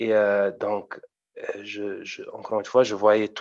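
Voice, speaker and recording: A man with a German accent talks at medium pitch and a very slow pace. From Germany, Frankfurt region. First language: German (speaking French). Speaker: amateur rapper. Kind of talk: interview. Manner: halting, many repetitions.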